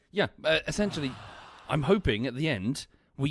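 With a British accent and vocal fry, a man talks at a moderate pace in a fairly high pitch on a very clean recording with a silent background. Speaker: game streamer. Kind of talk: casual chat. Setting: live stream.

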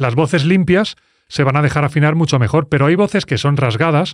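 Very fast and lively in intonation, a man speaks in a dry sound with no echo against a quiet background. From Spain. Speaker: music producer. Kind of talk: tutorial. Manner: animated. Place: studio. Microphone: studio mic.

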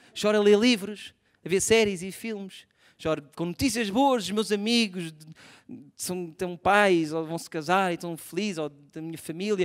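A man with a European Portuguese accent speaks in an animated tone at a high pitch with ordinary pitch variation. His pace is moderate, and the background is quiet. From Portugal. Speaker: stand-up comedian. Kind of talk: stand-up comedy. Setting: stage with audience. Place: stage. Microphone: handheld.

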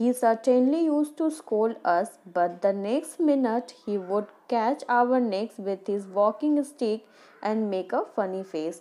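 A woman in an Indian accent speaks with lively intonation. Her pitch is fairly high and her pace fairly slow. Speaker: school teacher. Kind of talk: lecture. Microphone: phone near.

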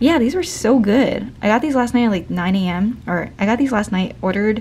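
Speaking at a fairly quick pace, a woman uses lively intonation. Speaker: vlogger. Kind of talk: casual vlog chat. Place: home room. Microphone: phone near.

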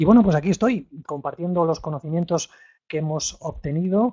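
A man speaks with a fairly high pitch and a dark, mellow tone. His pitch varies in an ordinary way against a quiet background. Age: 50s. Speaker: real estate investment trainer. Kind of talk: webinar lecture. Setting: live online webinar. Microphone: studio mic.

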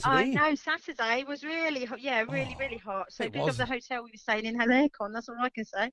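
Amid noticeable background noise, a woman speaks at a very fast pace with hardly any pauses, using a high pitch, ordinary pitch variation and big swings in loudness. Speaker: radio caller. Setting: phone.

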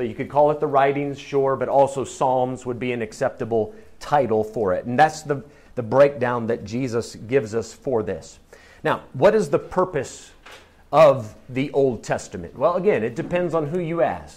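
A man talks at a moderate pace. His intonation is lively. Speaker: Bible class teacher. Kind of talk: lecture. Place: classroom.

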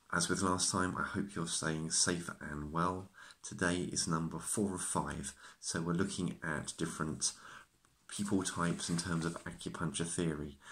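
A man speaks at a moderate pace in a very deep, low pitch. His intonation is monotone and flat. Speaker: acupuncturist. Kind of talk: self-help talk to camera. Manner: stutters at times. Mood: calm, reassuring. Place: home room. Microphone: phone near.

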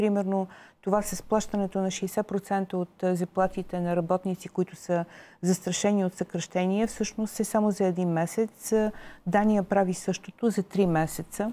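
A woman speaks at a fairly slow pace with monotone, flat intonation. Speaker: TV studio guest commentator. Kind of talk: interview answer. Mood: critical, earnest. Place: studio. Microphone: lapel.

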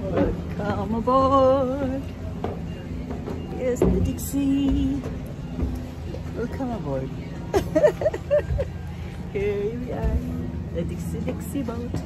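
Clear music plays in the background of this dry recording with no echo, where the speech moves at a very slow pace with long, frequent pauses. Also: woman. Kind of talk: casual vlog chat. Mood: cheerful, excited. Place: boat. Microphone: phone near.

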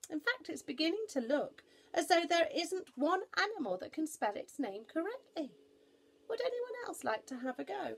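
A woman puts on a character voice, high-pitched with big pitch swings. She keeps a moderate pace, with vocal fry.

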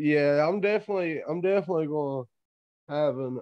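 A man speaks in an ordinary speaking voice, pitched fairly high for a man. His pace is moderate. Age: 20s. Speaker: amateur mixed martial artist. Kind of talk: interview.

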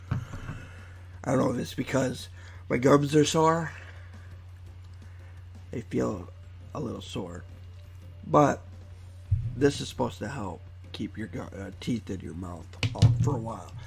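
Over music in the background, a man speaks at a fairly slow pace with a very deep, low pitch. His intonation is lively, and he takes long, frequent pauses. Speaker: online video creator. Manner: casual, chatty.

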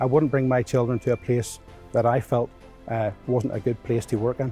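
A man speaks at a moderate pace with fairly even intonation, over faint music in the background. The sound is dry, with no echo. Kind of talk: interview answer. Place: factory. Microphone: lapel.

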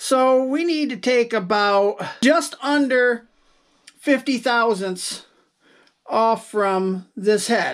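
The background is quiet. The speech is very slow, with long, frequent pauses. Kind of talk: tutorial. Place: workshop.

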